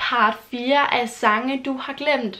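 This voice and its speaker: A woman's high voice, with ordinary pitch variation, comes through noticeable background noise. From Denmark, Funen. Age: 20s. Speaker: YouTuber. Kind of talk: casual vlog talk.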